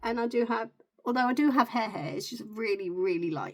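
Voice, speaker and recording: A woman with a British accent at a fairly quick pace. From UK. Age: 40s. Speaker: beauty content creator. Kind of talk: get ready with me vlog. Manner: casual, chatty.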